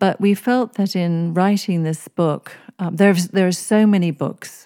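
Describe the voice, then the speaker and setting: A woman speaks in an English accent at a fairly slow pace, her tone dark and mellow. Her pitch varies in an ordinary way, and the recording is very clean with a silent background. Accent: English-sounding. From East Africa (Kenya, Seychelles). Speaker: author and religious scholar. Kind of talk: interview. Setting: podcast interview.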